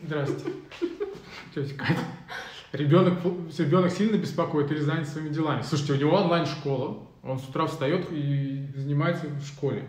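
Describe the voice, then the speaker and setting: The delivery has a moderate pace, fairly even intonation and long, frequent pauses. Noticeable background noise runs underneath. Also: man, fairly high pitch for a man. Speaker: podcast host. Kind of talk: casual live chat. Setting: video livestream. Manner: casual, colloquial.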